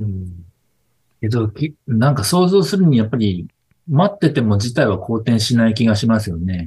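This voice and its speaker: With lively intonation and a dark, mellow tone, a man speaks at a medium pitch and moderate pace, sounding somewhat breathy. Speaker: business succession advisor. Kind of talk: casual chat.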